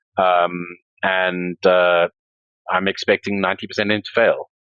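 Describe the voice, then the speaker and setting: A man with a South African accent, very deep and low in pitch, at a fairly slow pace with monotone, flat intonation. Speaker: crypto entrepreneur and startup investor. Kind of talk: podcast interview. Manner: hesitant, many fillers.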